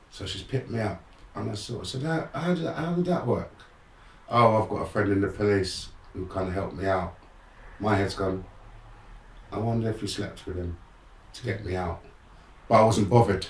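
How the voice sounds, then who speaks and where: With an English accent, a man talks at a fairly quick pace in a fairly low pitch with lively intonation. He takes long, frequent pauses, and audible room echo surrounds his voice. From London, England. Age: 60s. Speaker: motivational speaker. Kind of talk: interview storytelling. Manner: animated.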